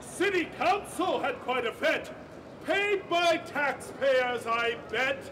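Over noticeable background noise, a man speaks loudly at a very slow pace. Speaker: town crier. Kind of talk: town crier proclamation in rhyme. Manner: loud, declamatory. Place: stage. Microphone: camera far.

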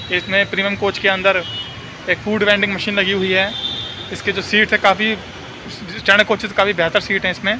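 A man with a raised, projected voice at a moderate pace, noticeable background noise behind him. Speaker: travel vlogger. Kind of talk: casual vlog chat. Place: station. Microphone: earbuds.

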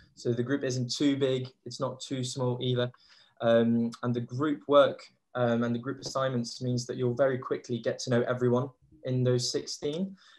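The man talks at a moderate pace in a monotone, flat intonation. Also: medium pitch for a man. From Belgium. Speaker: graduate student. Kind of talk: online webinar talk. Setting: video call.

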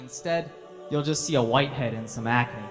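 A man's voice over background music. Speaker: spoken word poet / reciter. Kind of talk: spoken word poetry performance.

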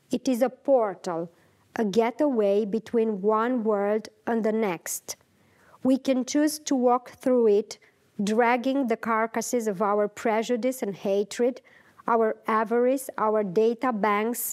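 Against a quiet background, a woman talks at a very slow pace with fairly even intonation. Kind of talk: lecture. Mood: calm, thoughtful, hesitant. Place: home room. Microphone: lapel.

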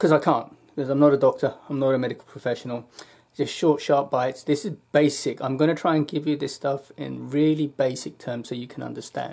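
Dark, mellow tone from a man at a fairly quick pace, monotone and flat in intonation, against a quiet background. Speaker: health vlogger. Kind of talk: casual vlog chat. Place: home room. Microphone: webcam.

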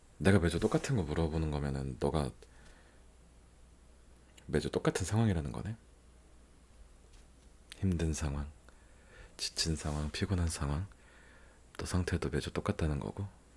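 A man speaks at a moderate pace in a very deep, low voice that is somewhat breathy, with ordinary pitch variation and long, frequent pauses. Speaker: ASMR content creator. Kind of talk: ASMR roleplay, comforting boyfriend talking to the listener. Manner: soft, intimate, caring.

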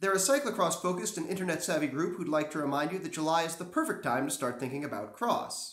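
This man talks at a very fast pace. There is audible echo in the room. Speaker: cycling news vlogger. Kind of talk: commentary. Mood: wry, sarcastic humor. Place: home room. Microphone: camera far.

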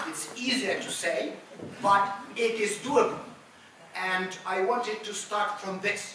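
Noticeable background noise and audible room echo fill the recording. The speaker talks at a fairly slow pace. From Ukraine. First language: Ukrainian or Russian. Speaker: civil society activist and former government official. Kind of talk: panel discussion. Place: hall. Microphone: camera far.

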